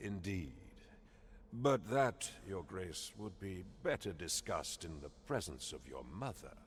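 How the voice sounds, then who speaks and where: Clear background noise sits behind a man doing a put-on character voice. His pitch is very deep and low, swinging very widely, and his pace is fairly slow. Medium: video game. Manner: haughty, condescending.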